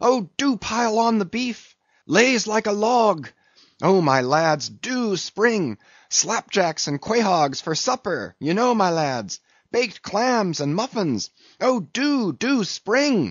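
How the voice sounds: Putting on a character voice, a man speaks slowly at a high pitch with big pitch swings. The sound is dry and close, with no echo.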